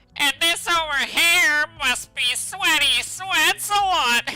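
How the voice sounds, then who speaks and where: A put-on character voice, nasal and high-pitched, delivered at a very slow pace. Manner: mocking, comic.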